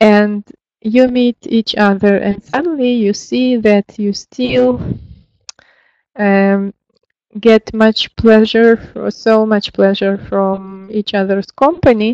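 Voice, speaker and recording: In a Russian accent, a woman with a fairly high pitch and lively intonation speaks at a very slow pace, the sound dry and close with no echo. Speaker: lecturer. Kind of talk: lecture. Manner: hesitant, many fillers.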